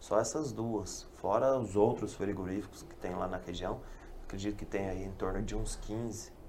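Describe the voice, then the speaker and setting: With vocal fry and a dark, mellow tone, a man speaks at a fairly low pitch and a moderate pace, his intonation fairly even amid audible room echo. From Brazil, western Paraná (Toledo). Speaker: fish farmer. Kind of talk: casual chat.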